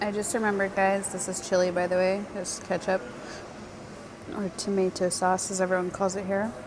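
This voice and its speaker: Speaking fairly quickly at medium pitch, a woman with an American accent is heard over noticeable background noise. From United States. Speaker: travel vlogger. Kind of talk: casual vlog talk to camera. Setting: airport cafe. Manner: animated, excited.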